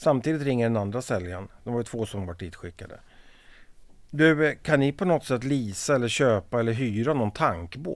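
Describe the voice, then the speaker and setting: A man with a normal speaking voice, medium pitch and lively intonation at a fairly quick pace, on a very clean recording with a silent background. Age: 50s. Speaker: veteran of the tool and machinery industry. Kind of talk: casual interview.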